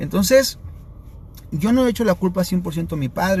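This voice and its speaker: A man's fairly quick delivery plays out over noticeable background noise. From Sinaloa, Mexico (Los Mochis). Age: 30s. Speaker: addiction prevention speaker. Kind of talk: live stream talk. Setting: live stream.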